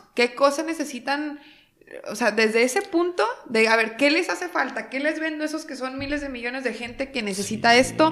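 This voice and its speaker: A high-pitched woman at a fairly quick pace, with ordinary pitch variation and big swings in loudness. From Mexico, Torreón, Coahuila. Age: 20s. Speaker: startup founder. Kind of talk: interview.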